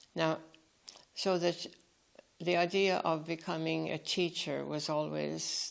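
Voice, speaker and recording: A woman with a Tipperary accent, at a very slow pace. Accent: Irish (Tipperary). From Ireland, Fethard (Co. Tipperary). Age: 90s. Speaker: retired nun. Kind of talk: life story interview. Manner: halting, with false starts.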